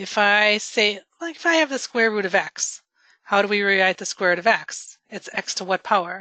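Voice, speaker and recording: Medium in pitch with a bright, sharp tone, a woman speaks with lively intonation over a quiet background, the sound dry and close with no echo. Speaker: math teacher. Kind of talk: tutoring session. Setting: recorded tutoring session. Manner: fast.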